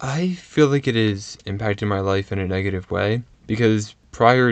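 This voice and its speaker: An unremarkable speaking voice moves at a moderate pace, its pitch varying in an ordinary way, with a quiet background. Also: man. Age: 20s. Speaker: university student, interviewee. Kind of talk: interview.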